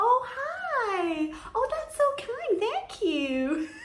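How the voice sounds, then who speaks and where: A squeaky, put-on character voice at an extremely high pitch, with very wide pitch swings and a very slow pace. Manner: sweet, polite, princess-like.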